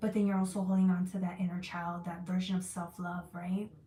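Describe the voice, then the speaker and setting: A woman speaks at a fairly quick pace and medium pitch, with noticeable background noise behind her. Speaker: tarot reader. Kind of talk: live tarot reading stream. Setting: livestream with chat. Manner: fast; animated.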